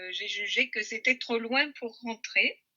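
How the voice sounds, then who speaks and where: A woman talks very slowly at a fairly high pitch. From Orléans, France. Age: 70s. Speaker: retired motorhome traveller. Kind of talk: interview answer.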